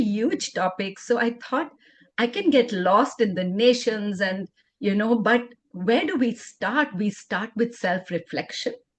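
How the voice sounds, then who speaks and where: This woman's voice is fairly high-pitched and somewhat breathy. She talks at a fairly slow pace. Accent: Indian. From India. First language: Indian language, not English. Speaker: LGBTQ advocate and educator. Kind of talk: conference workshop presentation.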